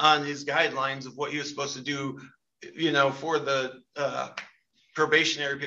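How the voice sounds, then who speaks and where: A man talks in a fairly high register. His intonation is monotone and flat. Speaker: victim. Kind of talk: heated victim impact statement. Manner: angry, emotional, rambling. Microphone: video call.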